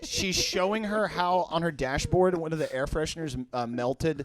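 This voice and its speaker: There is noticeable background noise. A man speaks in a fairly high pitch with an animated tone. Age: 30s. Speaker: podcast guest. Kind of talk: casual chat.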